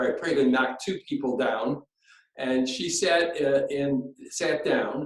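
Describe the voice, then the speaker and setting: Very slowly, a man speaks with an American accent. His pitch is fairly high and his intonation fairly even. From Chicago. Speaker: artist. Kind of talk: interview storytelling. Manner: halting.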